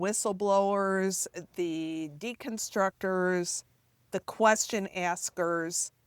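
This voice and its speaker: A woman with an American accent at medium pitch and a very slow pace, with ordinary pitch variation, in a very clean recording with a silent background and a dry, close sound with no echo. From US Midwest, Chicago northwest suburbs. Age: 60s. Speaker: author. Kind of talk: interview conversation.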